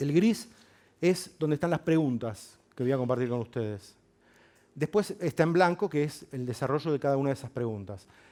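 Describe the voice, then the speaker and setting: Here a man speaks with lively intonation at a fairly high pitch. His tone is dark and mellow. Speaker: neuroscience researcher and psychologist. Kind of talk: public lecture. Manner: fast.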